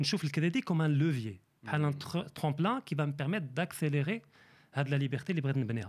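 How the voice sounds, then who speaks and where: Breathing somewhat audibly, a man with a fairly high pitch speaks at a moderate pace on a very clean recording with a silent background. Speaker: economist. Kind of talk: interview.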